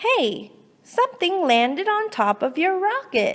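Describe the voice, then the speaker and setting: A squeaky, put-on character voice moves at a fairly slow pace with very wide pitch swings. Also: woman. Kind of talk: children's read-aloud. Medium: read story. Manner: chatty, warmly teasing.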